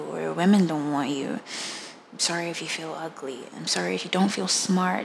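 In a room with audible echo and noticeable background noise, a woman speaks at a fairly low pitch and a moderate pace. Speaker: podcast host. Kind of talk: personal testimony monologue. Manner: halting, repeating and trailing off; quiet, low voice.

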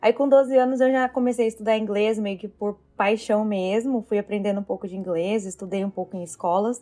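A woman's fairly high yet dark, mellow voice, fairly quick with hardly any pauses and fairly even intonation. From Brazil, interior of São Paulo state. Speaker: Brazilian immigrant in Canada. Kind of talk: casual chat.

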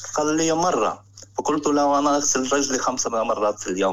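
Noticeable background noise sits behind a man's voice. He talks at a moderate pace with a fairly high pitch and ordinary pitch variation. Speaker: caller. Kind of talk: phone-in call about Muslims in the West. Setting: phone call.

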